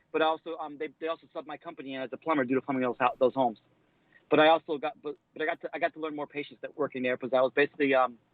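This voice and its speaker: Talking at a very fast pace, a man with a fairly high voice keeps his intonation fairly even while his loudness swings widely. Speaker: plumber. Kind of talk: casual chat. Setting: live stream interview.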